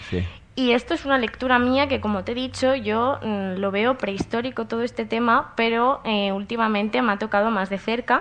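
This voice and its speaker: A woman's plain, everyday voice, fairly high in pitch, with fairly even intonation at a moderate pace. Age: 20s. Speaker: psychology student. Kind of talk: interview questions.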